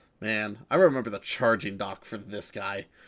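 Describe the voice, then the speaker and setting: The recording is very clean, with a silent background. A man with a fairly low pitch talks at a moderate pace with ordinary pitch variation. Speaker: streamer. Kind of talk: casual chat. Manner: animated.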